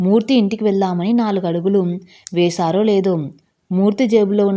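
A natural voice reads aloud. Nothing much stirs behind it.

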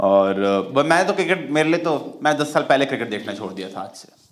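A man at medium pitch, fairly quick pace, lively intonation.

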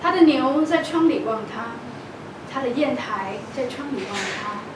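Someone speaks at a fairly slow pace amid noticeable background noise and audible room echo. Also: woman. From Taiwan. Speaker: poet. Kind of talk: poetry reading. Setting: live event. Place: hall.

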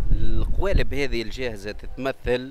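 Speaking fairly slowly, a man is heard. Noticeable background noise runs behind him. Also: dry sound with no echo. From Tunisia, Beja region; Tunisia. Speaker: green building entrepreneur; interviewee. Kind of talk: radio interview. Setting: workshop event. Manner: halting, many fillers. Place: hall. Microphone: handheld.

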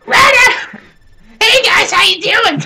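Putting on a character voice, a woman squeaks at an extremely high pitch. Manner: loud.

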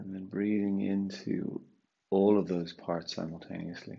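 A man speaks at a fairly slow pace in a very deep, low voice with ordinary pitch variation. His tone is calm, soothing, dark and mellow, over a quiet background. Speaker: yoga and meditation teacher. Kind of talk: guided meditation. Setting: online live session. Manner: slow, calm, soothing, with long pauses between cues. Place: home room.

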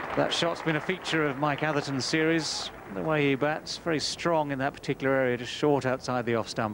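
A man talks with hardly any pauses over noticeable background noise. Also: ordinary pitch variation, fairly quick pace, dry sound with no echo. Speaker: cricket commentator. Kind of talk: live cricket commentary.

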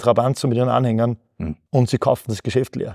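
Over a quiet background, a man with a dark, mellow tone speaks at a fairly quick pace with fairly even intonation. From Upper Austria (Mühlviertel); Upper Austria. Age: 40s. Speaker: company founder; guest. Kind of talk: interview; interview answer. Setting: company office. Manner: halting, frequent repetitions. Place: studio.

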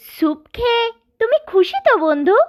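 The cartoonish character voice sits at an extremely high pitch. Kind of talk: children's cartoon fable. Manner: polite, friendly, always says "friend".

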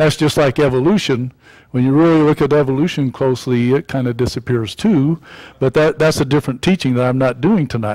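A man at a fairly quick pace with ordinary pitch variation, over a quiet background. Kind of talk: sermon. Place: church. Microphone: podium.

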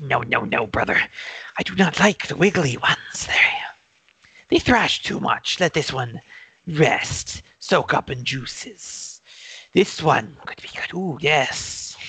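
A put-on character voice, raspy and shrill, sits at a middle pitch. It moves at a fairly slow pace with long, frequent pauses. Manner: greedy, fussy.

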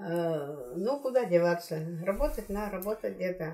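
A woman speaks at a moderate pace with very wide pitch swings. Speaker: livestock specialist. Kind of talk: interview answer. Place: home room. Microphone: camera far.

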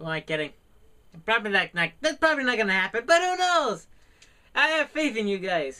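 A man speaks in a raised, projected voice with a high pitch, a bright, sharp tone and very wide pitch swings. His pace is fairly quick with long, frequent pauses, over a quiet background. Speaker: small YouTube vlogger; small channel vlogger. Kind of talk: casual vlog to camera. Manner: hesitant, many fillers. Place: home room. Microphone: studio mic.

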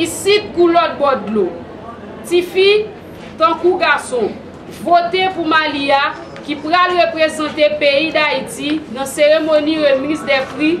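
Her pitch is high, with ordinary variation, as a woman speaks at a fairly slow pace. Noticeable background noise runs underneath. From Haiti. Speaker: women's rights organization spokesperson. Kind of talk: public appeal statement. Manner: formal. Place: hall. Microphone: phone near.

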